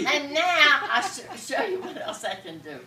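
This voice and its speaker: A woman speaks in a raised, projected voice at a fairly slow pace. Noticeable background noise sits behind her. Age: 80s+. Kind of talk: casual demonstration to camera.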